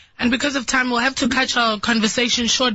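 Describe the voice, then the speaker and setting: Fairly brisk speech over noticeable background noise. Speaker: radio host. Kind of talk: radio show.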